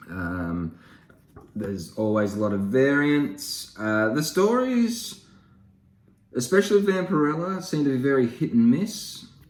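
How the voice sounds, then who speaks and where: Speaking fairly slowly with very wide pitch swings, a man of medium pitch has an Australian accent. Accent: Australian, broad. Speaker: comic book YouTuber. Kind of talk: casual haul video. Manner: casual, hesitant with many fillers.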